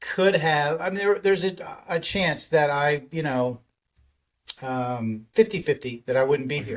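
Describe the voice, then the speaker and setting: A man's fairly high voice, lively intonation, fairly slow pace. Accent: Texan. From Texas, Dallas. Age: 50s. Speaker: podcaster. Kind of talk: personal testimony. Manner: halting, many fillers.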